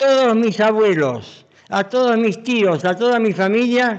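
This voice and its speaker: A man speaks at a high pitch with ordinary pitch variation. His pace is very slow. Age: 80s+. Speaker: physician. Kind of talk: interview. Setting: museum. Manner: talkative.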